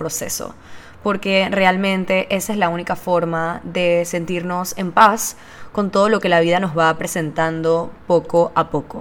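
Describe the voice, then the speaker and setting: Her pitch is fairly low and her intonation fairly even. The woman talks at a fairly slow pace. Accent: Panamanian. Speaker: podcast host and business owner. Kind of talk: solo monologue podcast.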